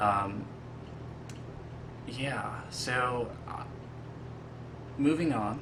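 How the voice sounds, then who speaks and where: Audible room echo and noticeable background noise around a man at a medium pitch. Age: 20s. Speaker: casting applicant, realtor and college student. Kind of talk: casting video self-introduction. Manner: halting, many fillers.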